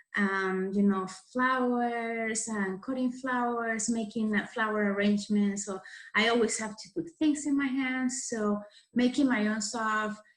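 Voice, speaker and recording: A woman's fairly high, somewhat breathy voice at a fairly slow pace, with fairly even intonation. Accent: Spanish. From Venezuela. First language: Spanish. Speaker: florist and farmer leading a craft workshop. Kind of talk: tutorial. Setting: recorded video session. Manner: halting, many fillers.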